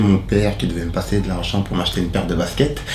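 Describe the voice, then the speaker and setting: Noticeable background noise and audible room echo surround the recording. A man speaks at a fairly low pitch. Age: 30s. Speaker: social mediator. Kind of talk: interview testimony. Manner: hesitant, many fillers.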